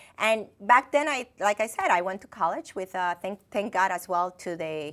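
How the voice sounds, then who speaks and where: Woman at medium pitch with a Dominican accent, moderate pace and ordinary pitch variation, on a very clean recording with a silent background. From Dominican Republic. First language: Spanish. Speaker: finance executive. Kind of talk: interview. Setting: TV studio. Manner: halting.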